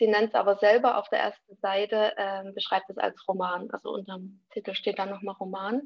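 Monotone and flat in intonation, a woman talks at a fairly high pitch. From Vogtland, Saxony, Germany. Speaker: university student. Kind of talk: casual discussion.

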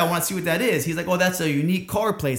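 A man with an American accent talks at a very fast pace in an energetic tone. His pitch variation is ordinary. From Orlando, Florida. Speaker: CrossFit gym owner and coach. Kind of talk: casual interview.

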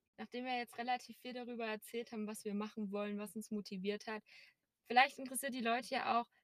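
Speaking at a very fast pace, a woman with a fairly high pitch keeps fairly even intonation in a dry, close sound with no echo. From Erzgebirge, Saxony, Germany. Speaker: podcast co-host. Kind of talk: casual chat. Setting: in a car.

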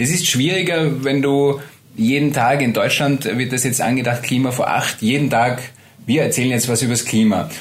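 A man's voice at very even loudness, ordinary pitch variation, noticeable background noise and audible room echo. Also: medium pitch for a man, moderate pace. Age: 50s. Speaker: meteorologist. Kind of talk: interview.

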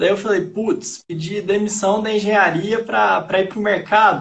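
At a fairly slow pace, a man speaks in a high pitch with fairly even intonation. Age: 20s. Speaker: day trader, former civil engineer. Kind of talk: casual interview on a live stream.

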